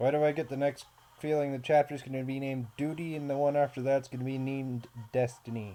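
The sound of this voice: Fairly even intonation shapes the delivery of an unforced reading voice.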